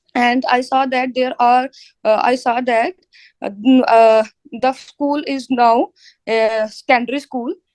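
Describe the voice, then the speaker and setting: A woman with a Punjabi accent speaks at a fairly slow pace with long, frequent pauses and a high pitch with ordinary variation. The sound is dry and close with no echo. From India, Punjab. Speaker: IELTS test candidate. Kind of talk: mock speaking exam. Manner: halting, many fillers.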